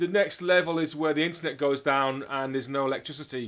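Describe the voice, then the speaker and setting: The recording is very clean, the background silent. A man speaks fairly fast. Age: 50s. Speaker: drummer and interview host, retired doctor. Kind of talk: casual chat.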